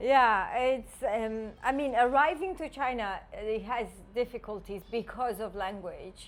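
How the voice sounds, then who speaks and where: Fairly slow speech from a woman, high in pitch, with ordinary pitch variation. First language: not English. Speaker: podcast co-host. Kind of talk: casual chat.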